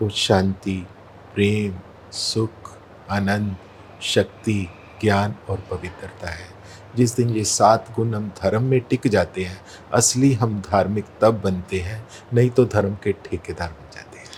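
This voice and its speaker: A man with a fairly low pitch speaks with fairly even intonation. His loudness swings widely, and there is noticeable background noise. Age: 60s. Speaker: spiritual practitioner. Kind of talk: interview.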